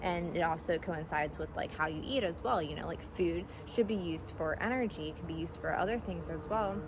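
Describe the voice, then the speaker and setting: A woman talks at a fairly quick pace with hardly any pauses, and audible room echo can be heard. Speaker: energy healer and yoga practitioner. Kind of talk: casual monologue. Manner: fast.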